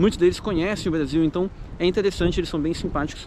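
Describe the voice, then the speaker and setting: The pace is very fast. Noticeable background noise runs underneath. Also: man. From Brazil, São Paulo. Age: 30s. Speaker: YouTuber, immigrant vlogger. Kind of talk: casual vlog monologue. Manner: casual, hesitant with fillers.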